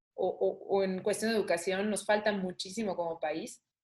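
A woman speaks in an ordinary speaking voice. Her pitch is medium and varies in an ordinary way. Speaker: saxophonist. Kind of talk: interview conversation.

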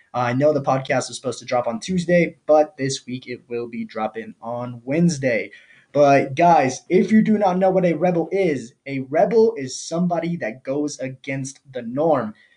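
A man talks at a moderate pace with a dark, mellow tone. His voice is somewhat breathy. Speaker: podcast host. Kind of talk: casual podcast monologue. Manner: casual, filler-heavy.

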